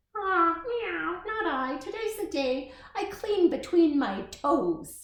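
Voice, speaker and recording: This put-on character voice is squeaky and extremely high in pitch. It moves at a fairly slow pace with a slight echo. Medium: read story. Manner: meowing interjections.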